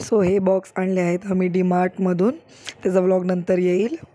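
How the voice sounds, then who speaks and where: Over noticeable background noise, a woman speaks at a medium pitch in a flat, monotone delivery. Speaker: vlogger, mother. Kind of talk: casual vlog.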